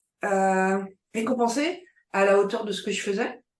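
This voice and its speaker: This woman's medium-pitched voice carries fairly even intonation. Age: 60s. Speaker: entrepreneur. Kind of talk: interview. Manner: halting, many hesitations.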